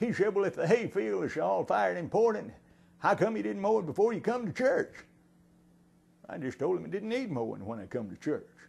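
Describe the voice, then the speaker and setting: A man's voice with a Southern US accent, vocal fry, a moderate pace and very wide pitch swings. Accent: Southern American, rural. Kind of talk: folksy comedy monologue.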